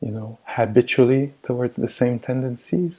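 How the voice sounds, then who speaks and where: A man speaks with a French accent. His tone is dark and mellow. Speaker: meditation teacher. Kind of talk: dharma talk and guided meditation. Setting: video call. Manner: slow; soft-spoken.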